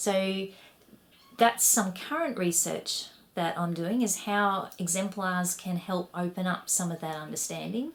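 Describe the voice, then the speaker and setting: A medium-pitched woman with a strong Australian accent, ordinary pitch variation and a fairly slow pace. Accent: broad Australian. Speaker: education researcher and academic. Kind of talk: recorded conference talk. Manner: animated.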